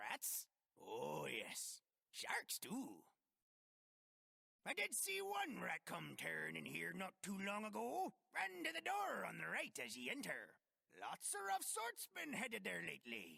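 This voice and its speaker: A man does a put-on character voice at a fairly slow pace. Long, frequent pauses break it up, and the sound is dry and close with no echo. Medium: video game. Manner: folksy, rambling.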